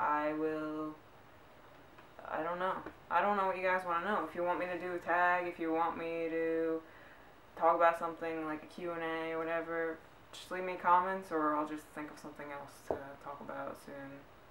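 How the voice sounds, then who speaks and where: Delivered at a moderate pace with an American accent, the speech has noticeable background noise behind it. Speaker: vlogger. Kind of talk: casual vlog tag video. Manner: unenthusiastic.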